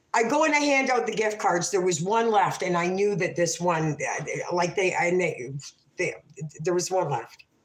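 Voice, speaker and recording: A woman's lively intonation at very even loudness, with audible room echo. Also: medium pitch for a woman, moderate pace. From Canada. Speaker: livestreamer. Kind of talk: casual livestream chat.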